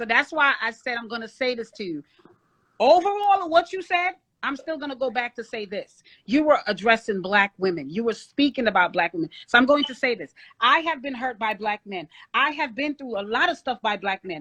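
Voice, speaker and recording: A woman speaks at a fairly quick pace with a high pitch and a bright, sharp tone. Her pitch swings very widely and her loudness rises and falls a lot. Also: dry, close sound with no echo. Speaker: panelist in dating debate. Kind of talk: heated debate.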